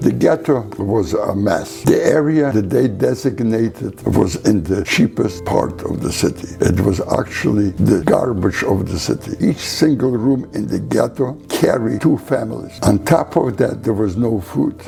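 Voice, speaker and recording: Over noticeable background noise, a man with a fairly low pitch speaks at a fairly slow pace, swinging very widely in pitch and hardly pausing. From Poland. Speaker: Holocaust survivor. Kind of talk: interview answer.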